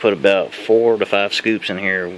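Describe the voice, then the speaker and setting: A man with a fairly low voice speaks in a flat monotone over noticeable background noise. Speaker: hobbyist mealworm breeder. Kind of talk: tutorial. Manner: casual, rambling with restarts; fast.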